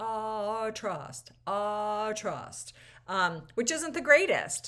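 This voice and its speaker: This woman speaks at a medium pitch. She has an American accent. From US New England (Millinocket, Maine). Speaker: choir teacher / choral educator. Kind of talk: educational talk to camera. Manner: casual, with many fillers and restarts.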